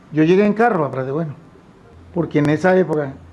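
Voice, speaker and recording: Noticeable background noise sits behind a man's voice. His pitch is fairly high and his intonation fairly even. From Colombia, Tolima (Purificación). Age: 70s. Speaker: farmer. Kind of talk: testimony.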